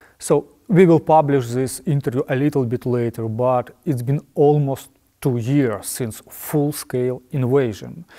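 Over a quiet background, a man with a medium pitch and a dark, mellow tone speaks at a fairly slow pace with ordinary pitch variation. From Ukraine. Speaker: ministry representative; interviewer. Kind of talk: interview. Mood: earnest, serious.

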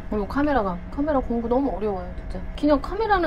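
Amid light background noise, a woman with a high-pitched voice speaks at a very fast pace. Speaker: eating vlogger. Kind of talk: casual vlog chat. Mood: cheerful, laughing. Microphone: lapel.

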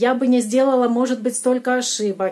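The woman's pitch is high. Her intonation stays fairly even. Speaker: salon owner. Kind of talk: coaching conversation. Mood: calm, reflective. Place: home room. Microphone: phone near.

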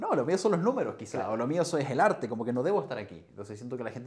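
A man with a Chilean accent, ordinary pitch variation and a quiet background. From Chile, Chillán. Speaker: nurse and streamer; podcast guest. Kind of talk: casual chat. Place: home room. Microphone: lapel.

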